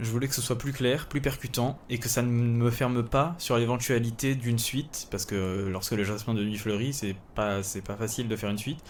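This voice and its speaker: With audible room echo, a man speaks in a calm, relaxed tone at medium pitch and a fairly quick pace, with hardly any pauses and fairly even intonation. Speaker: writer and podcast host. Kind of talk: casual solo podcast. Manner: hesitant, many fillers.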